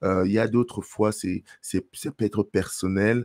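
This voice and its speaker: At a very slow pace, a man speaks in a fairly low voice with a dark, mellow tone and fairly even intonation, in a dry, close sound with no echo. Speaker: life coach for men. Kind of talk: motivational talk to camera. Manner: halting, many fillers.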